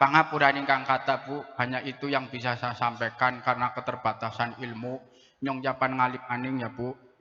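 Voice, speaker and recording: Bright and sharp in tone, a man speaks at a fairly quick pace and a medium pitch. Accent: strong Central Javanese. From Brebes, Central Java. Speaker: preacher. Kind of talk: humorous sermon. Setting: mosque gathering with audience. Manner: animated.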